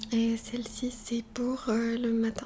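Soft-spoken and very slow, the voice stays monotone and flat over light background noise. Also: woman. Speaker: ASMR youtuber. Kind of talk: ASMR skincare tutorial. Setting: bedroom near the street. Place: home room. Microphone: studio mic.

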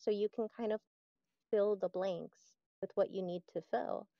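Woman at a moderate pace with fairly even intonation, dry sound with no echo and a quiet background. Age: 20s. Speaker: interview guest with schizoid personality disorder. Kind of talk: interview. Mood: reflective, introspective. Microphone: video call.

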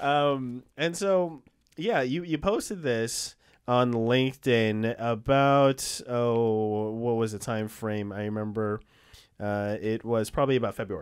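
Very slow pace from a man, ordinary pitch variation, and a quiet background. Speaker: podcast host. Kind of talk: casual interview chat. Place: studio. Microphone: studio mic.

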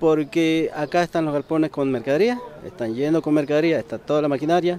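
A man with a fairly high voice talks at a fairly quick pace over noticeable background noise. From eastern Mendoza, Argentina. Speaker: factory machine operator. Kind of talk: street interview. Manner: halting.

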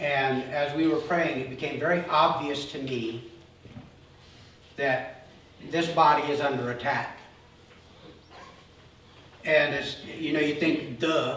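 At a fairly slow pace with long, frequent pauses and fairly even intonation, the speech comes through audible room echo and light background noise. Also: man. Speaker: pastor. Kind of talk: sermon. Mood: earnest, serious. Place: church.

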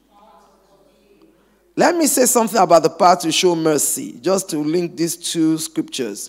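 Against a quiet background, a man talks at a fairly quick pace in an animated tone with lively intonation. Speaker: preacher. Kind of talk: sermon. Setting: church. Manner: animated, call-and-response preaching; emphatic, repeating phrases for effect. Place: church. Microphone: handheld.

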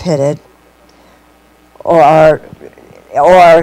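This woman speaks at a fairly low pitch. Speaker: home cooking show host. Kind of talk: tutorial. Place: kitchen. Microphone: lapel.

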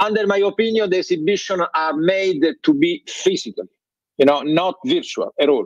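Spoken at a moderate pace with an Italian accent, the voice has lively intonation and a dry sound with no echo. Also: man, high pitch for a man, quiet background. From Italy. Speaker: trade fair president; remote conference panelist. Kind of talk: panel discussion. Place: office. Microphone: video call.

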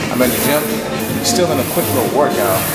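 Loud music plays in the background. Over it, a man speaks. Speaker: fitness vlogger. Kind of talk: casual vlog chat. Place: gym. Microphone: phone near.

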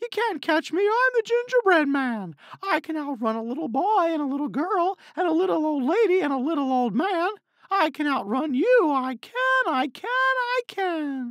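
Using a put-on character voice at an extremely high pitch, a man speaks at a moderate pace. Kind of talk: children's story narration. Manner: taunting, energetic.

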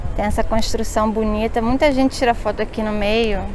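A woman's fairly high voice at a moderate pace, dry with no echo, over light background noise. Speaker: travel vlogger, journalist. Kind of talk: casual travel vlog talk to camera. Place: street. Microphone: phone near.

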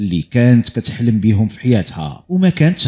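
This man speaks with a Moroccan accent. His pitch sits in the medium range. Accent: Moroccan Arabic (Darija). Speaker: true crime storyteller. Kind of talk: storytelling narration.

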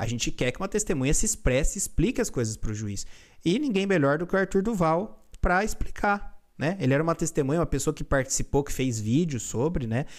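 On a very clean recording with a silent background, a man speaks at a fairly quick pace, his fairly high voice making very wide pitch swings. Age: 30s. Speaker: lawyer. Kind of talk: react video self-defense statement. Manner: halting, many fillers.

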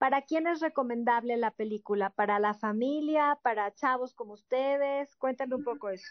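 A woman talks at a moderate pace with a high pitch and ordinary pitch variation. The sound is dry with no echo, over a quiet background. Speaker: entertainment show host. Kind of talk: panel show conversation and interview. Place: studio.

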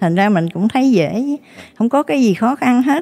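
The woman's pitch swings very widely while she keeps a moderate pace. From Vietnam. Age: 80s+. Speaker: guest. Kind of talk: interview. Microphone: handheld.

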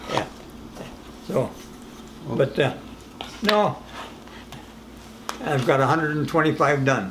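A man at a fairly slow pace with long, frequent pauses, lively intonation, a fairly high pitch and very even loudness, amid noticeable background noise. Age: 80s+. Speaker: war veteran, retired machinist. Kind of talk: interview answer. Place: home room.

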